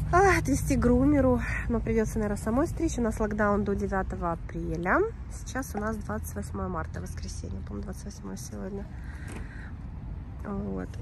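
Audible room echo surrounds a woman speaking at a moderate pace. She leaves long, frequent pauses. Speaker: dog vlogger. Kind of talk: casual vlog. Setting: outdoors. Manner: chatty.

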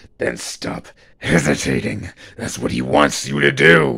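Using a put-on character voice, a man speaks at a fairly slow pace, very deep and low in pitch, with a raspy sound. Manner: menacing, taunting.

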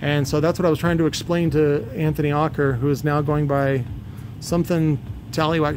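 Speaking at a fairly quick pace, a man uses a fairly high pitch and fairly even intonation.

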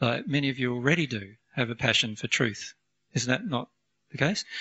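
A man's pitch varies in an ordinary way as he talks at a moderate pace over a quiet background. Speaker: speaker. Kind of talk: lecture. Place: meeting room. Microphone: handheld.

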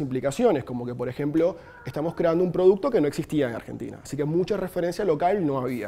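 A man's high-pitched voice, swinging very widely in pitch. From Colombia, Barranquilla; Colombia. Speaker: frontend developer; conference speaker. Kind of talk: conference talk. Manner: hesitant, many fillers and repeats. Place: meeting room.

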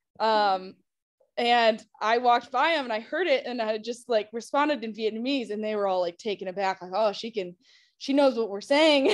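In an American accent, a woman speaks at a moderate pace with ordinary pitch variation against a quiet background. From United States. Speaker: former intern, nursing. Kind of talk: panel interview. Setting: video call. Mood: warm, cheerful. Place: home room. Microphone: video call.

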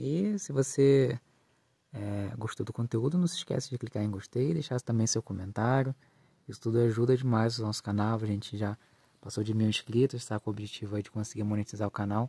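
A man's medium-pitched, somewhat breathy voice, dark and mellow in tone, at a fairly quick pace with ordinary pitch variation, dry with no echo. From Southeast Brazil. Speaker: gardening YouTuber. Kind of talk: casual vlog, garden tour; channel outro. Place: garden. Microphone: phone near.

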